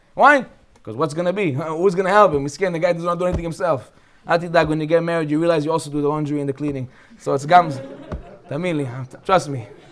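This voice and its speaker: Speaking very fast with an American accent, a man uses a fairly high voice and an animated tone. Long, frequent pauses break his speech, and background noise is noticeable. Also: ordinary pitch variation. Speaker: rabbi teaching a Torah class. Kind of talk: Torah lecture.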